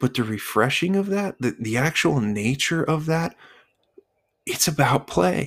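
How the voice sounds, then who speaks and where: A man's fairly high voice at a fairly slow pace, with very even loudness and very wide pitch swings. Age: 30s. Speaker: podcast host. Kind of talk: solo podcast monologue. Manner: halting, with frequent repetitions.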